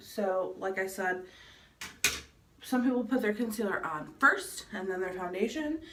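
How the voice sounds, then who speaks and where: Amid noticeable background noise, a woman of medium pitch speaks at a fairly slow pace with lively intonation and long, frequent pauses. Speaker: beauty vlogger. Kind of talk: makeup tutorial. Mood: playful, relaxed. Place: bathroom. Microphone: phone near.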